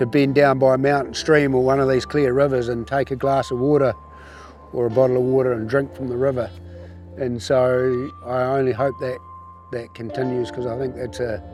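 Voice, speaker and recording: A man with a New Zealand accent at a moderate pace, ordinary pitch variation, music in the background. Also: medium pitch for a man. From New Zealand, Canterbury. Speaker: rafting guide. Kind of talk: interview. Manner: halting.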